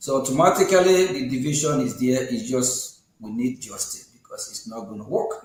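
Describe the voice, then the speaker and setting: Audible room echo surrounds a man speaking at medium pitch with lively intonation. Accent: Nigerian. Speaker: online TV host. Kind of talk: interview.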